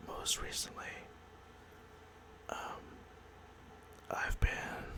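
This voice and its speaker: The speech is whispered. There is noticeable background noise. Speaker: ASMR creator, collector. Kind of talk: ASMR whispered talk to camera.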